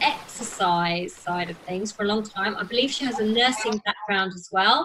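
With noticeable background noise behind her, a woman speaks at a fairly high pitch with lively intonation. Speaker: podcast host, fitness professional. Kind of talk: interview.

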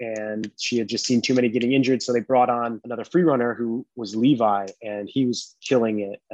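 With an unremarkable speaking voice of medium pitch, a man talks fairly quickly with fairly even intonation in a dry, close sound with no echo. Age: 30s. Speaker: parkour athlete. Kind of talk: casual chat.

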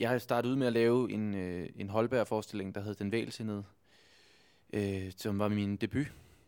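On a very clean recording with a silent background, a man speaks at a fairly low pitch. His pace is moderate and his intonation fairly even. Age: 20s. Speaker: stage actor. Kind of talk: interview. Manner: halting.

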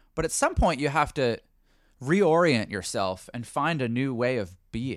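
This very clean recording with a silent background carries lively intonation in a Canadian accent. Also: man. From Canada. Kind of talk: casual chat. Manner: easygoing.

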